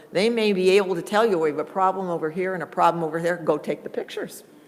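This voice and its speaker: This woman's voice sits at a medium pitch with ordinary pitch variation, and noticeable background noise runs underneath. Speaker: conference presenter on cable franchising. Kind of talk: conference workshop presentation. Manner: fast.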